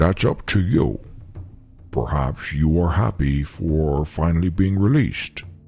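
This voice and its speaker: Faint music plays behind a man doing a put-on character voice. He speaks at a very deep, low pitch and a fairly slow pace. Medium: solo performance. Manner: terse, deadpan.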